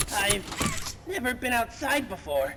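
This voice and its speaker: Over clear background noise, a raspy, put-on character voice with a fairly high pitch moves at a fairly slow pace. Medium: virtual streamer. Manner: energetic, cocky.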